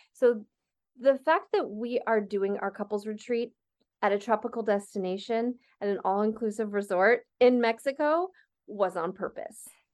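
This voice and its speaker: The background stays quiet. A plain, everyday voice talks at a moderate pace, its pitch varying in an ordinary way. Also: woman, fairly high pitch for a woman. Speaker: sexologist and co-host. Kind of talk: casual conversation.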